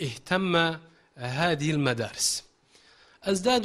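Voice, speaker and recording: A man's fairly high-pitched voice with ordinary pitch variation. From Turkey. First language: Turkish (speaking Arabic). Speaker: Arabic teacher. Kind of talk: interview. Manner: halting. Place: studio. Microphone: handheld.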